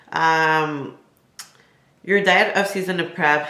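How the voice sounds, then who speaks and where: In a French Canadian accent, a woman speaks at a fairly slow pace with fairly even intonation and audible room echo. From Quebec. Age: 20s. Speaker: bodybuilding competitor and YouTuber. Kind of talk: casual Q&A vlog. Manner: casual with many fillers.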